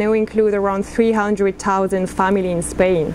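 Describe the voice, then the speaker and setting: At a moderate pace, a woman speaks over light background noise. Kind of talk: formal prepared statement. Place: meeting room. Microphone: podium.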